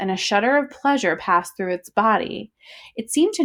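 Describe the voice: Against a quiet background, the speaker reads aloud plainly with lively intonation.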